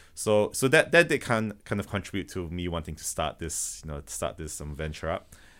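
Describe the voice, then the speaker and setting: Hardly pausing, a man talks at a fairly quick pace on a very clean recording with a silent background. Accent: slight Malaysian. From Malaysia. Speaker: automation business founder. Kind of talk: podcast interview. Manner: halting, many repetitions and fillers.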